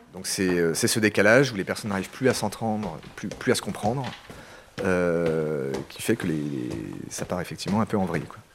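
Over noticeable background noise, a man talks with lively intonation in a very deep, low pitch. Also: moderate pace. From France. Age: 30s. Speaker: expatriate teacher and aid worker. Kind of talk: interview testimony.

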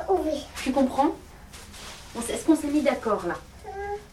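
Noticeable background noise runs under the recording. A woman with a high pitch speaks at a fairly slow pace. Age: 30s. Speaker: mother keeping an audio diary. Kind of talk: home recording, talking to toddler and partner.

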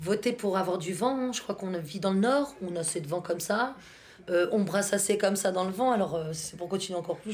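Medium pitch from a woman at a fairly quick pace, over noticeable background noise. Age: 30s. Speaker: stay-at-home mother. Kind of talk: casual chat. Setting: home kitchen, children playing nearby.

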